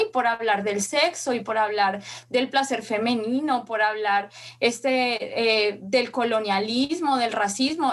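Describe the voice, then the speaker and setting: Her pitch moves in a normal way as a woman talks rather slowly. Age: 30s. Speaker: feminist content creator. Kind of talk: interview testimony.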